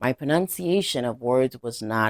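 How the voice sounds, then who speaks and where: This woman has a very deep, low pitch and speaks at a moderate pace. The sound is dry and close with no echo, on a very clean recording with a silent background. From Caribbean. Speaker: language teacher. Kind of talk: educational lecture.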